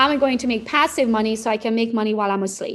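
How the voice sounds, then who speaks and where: Music plays in the background as a speaker with a non-native accent talks in a fairly even intonation. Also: woman. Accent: foreign. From Romania. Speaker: real estate social media coach. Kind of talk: interview answer.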